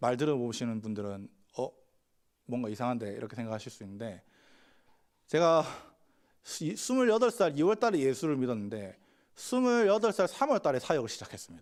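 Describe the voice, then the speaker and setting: A man at medium pitch, fairly quick pace, very wide pitch swings, big swings in loudness and long, frequent pauses, on a very clean recording with a silent background. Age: 30s. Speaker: pastor. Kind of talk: sermon.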